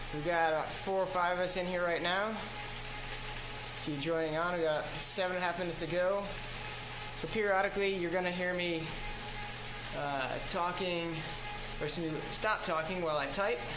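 A man with a high voice speaks at a moderate pace in a flat monotone, very even in loudness, with long, frequent pauses and noticeable background noise. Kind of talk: instructional commentary.

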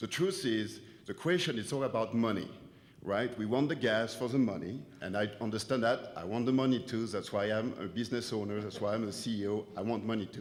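In a French accent, a man talks at a fairly quick pace with a medium pitch and ordinary pitch variation, with audible room echo. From France. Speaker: business owner speaking at public comment. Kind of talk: public comment at town hall. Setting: auditorium meeting.

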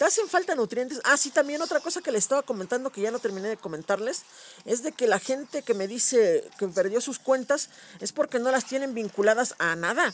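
Speaking at a fairly quick pace, a man with an extremely high voice sounds animated, his intonation lively. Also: dry, close sound with no echo. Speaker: gaming youtuber. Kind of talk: gameplay commentary.

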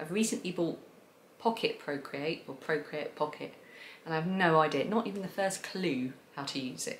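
Over light background noise, a woman speaks at a moderate pace with a fairly low pitch and lively intonation. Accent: southern English. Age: 40s. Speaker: craft video creator; craft podcast host. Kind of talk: casual monologue to camera. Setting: home recording to camera. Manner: chatty, frequent fillers. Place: home room.

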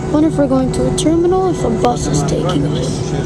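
Over loud music in the background, the speaker keeps a moderate pace. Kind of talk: casual commentary. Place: plane. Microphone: phone near.

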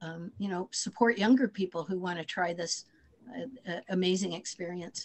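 Big swings in loudness mark this woman's speech, which has a moderate pace and ordinary pitch variation. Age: 60s. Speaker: former senate candidate and teacher; candidate, teacher. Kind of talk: Q&A on a video call. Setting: video call. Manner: hesitant, many fillers. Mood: modest, reflective. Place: home room. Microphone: video call.

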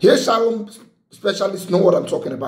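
A man with a high pitch speaks amid audible room echo. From Nigeria. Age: 30s. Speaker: lawyer and motivational vlogger. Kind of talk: motivational talk to camera. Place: home room. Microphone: phone near.

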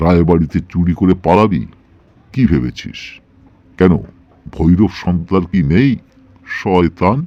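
A man puts on a growling, rumbling character voice with a menacing tone. His pitch is very deep and low, and his pace is moderate.

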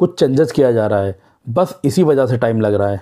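Delivered at a moderate pace, the voice has a dark, mellow tone and lively intonation. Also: man.

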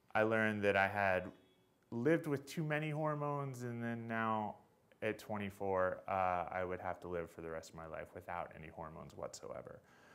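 A man speaks at a moderate pace. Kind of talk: talk introducing a reading. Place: hall. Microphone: podium.

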